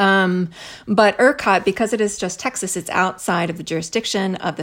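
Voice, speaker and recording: On a very clean recording with a silent background, a woman with an American accent talks at a medium pitch with fairly even intonation in an unremarkable speaking voice. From US Midwest, Missouri. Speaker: author and professor. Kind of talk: casual chat.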